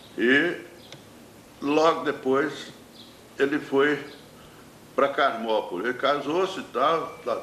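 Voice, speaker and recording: A man's voice with audible room echo. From Minas Gerais, Brazil (Divinópolis). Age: 80s+. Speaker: painter and poet. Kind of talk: interview, life story. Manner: halting, with repetitions.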